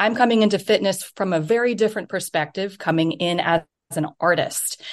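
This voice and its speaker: Against a quiet background, a woman with an American accent talks at a moderate pace in a plain, everyday voice. Her pitch is medium and her intonation lively. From United States. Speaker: indoor cycling instructor and performance coach. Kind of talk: interview.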